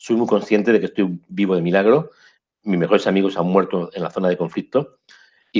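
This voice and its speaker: Against a quiet background, a man speaks in a plain, everyday voice, fairly low in pitch, with fairly even intonation. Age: 60s. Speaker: photojournalist. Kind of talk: interview. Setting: video call.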